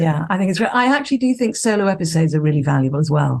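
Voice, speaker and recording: Some breathiness comes through. The speaker's intonation rises and falls in a lively way. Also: woman. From Scotland. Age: 60s. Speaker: psychologist and consciousness mentor. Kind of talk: podcast interview.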